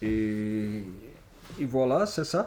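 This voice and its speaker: A man is speaking. He has a Portuguese accent. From Brazil, Niterói. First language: Portuguese (speaking French). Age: 50s. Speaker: comic book author. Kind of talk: public interview at a bookshop. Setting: bookshop event with audience. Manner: halting, searching for words.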